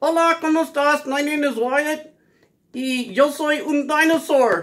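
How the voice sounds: A man puts on a character voice at an extremely high pitch. He keeps a moderate pace.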